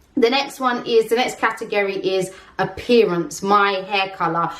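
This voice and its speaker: A woman with a London accent speaks at a moderate pace, her medium-pitched voice fairly even in intonation. The recording has audible room echo and noticeable background noise. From London, England. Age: 30s. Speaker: vlogger. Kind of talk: casual vlog talk.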